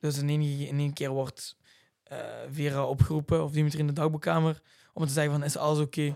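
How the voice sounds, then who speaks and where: Very fast and in a monotone, flat intonation, a man with a fairly high pitch speaks in a very clean recording with a silent background. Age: 20s. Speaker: reality TV contestant and racing driver. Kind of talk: casual chat.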